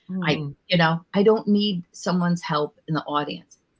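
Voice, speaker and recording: A woman's somewhat breathy voice, fairly low in pitch. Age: 50s. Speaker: stand-up comedian. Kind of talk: casual conversational interview answer with comedic sarcasm. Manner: fast, sarcastic, animated.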